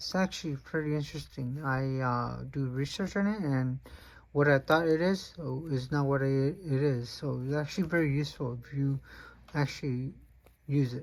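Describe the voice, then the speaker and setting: Moderate pace with a non-native accent, on a very clean recording with a silent background. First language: not English. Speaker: fishing reel reviewer. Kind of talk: product unboxing review. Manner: halting, many fillers.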